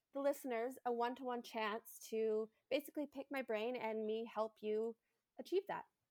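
Speaking at a moderate pace with a Canadian accent, a woman uses a high pitch with ordinary variation, captured in a dry, close sound without echo. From Canada, Alberta Rockies (Jasper). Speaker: bridal hairstylist. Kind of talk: casual interview.

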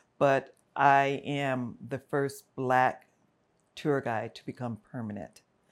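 A woman's very deep, low voice with an American accent, very slow, with big swings in loudness. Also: fairly even intonation. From South Central Los Angeles (Watts, Compton). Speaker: retired theme park manager. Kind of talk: interview conversation.

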